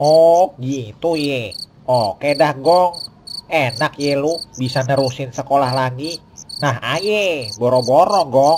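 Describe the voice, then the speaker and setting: A man's cartoonish character voice, fairly high in pitch, at a very slow pace. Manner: chatty, grumbling.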